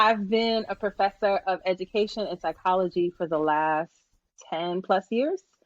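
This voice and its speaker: A woman with a Brooklyn accent and ordinary pitch variation, in a dry, close sound with no echo. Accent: New York (Brooklyn). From Brooklyn, New York. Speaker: business coach and psychology professor. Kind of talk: casual interview.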